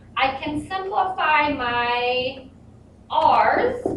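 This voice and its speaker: A woman's speech carries audible room echo amid noticeable background noise. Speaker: math teacher. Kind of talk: tutorial.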